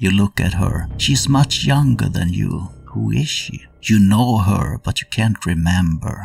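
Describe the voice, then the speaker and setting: A man speaks with a fairly low pitch, somewhat breathy. His intonation is lively and his pace fairly slow. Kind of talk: dramatic second-person narration, game-master style storytelling of a horror scene. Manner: tense, atmospheric, measured pacing that builds dread.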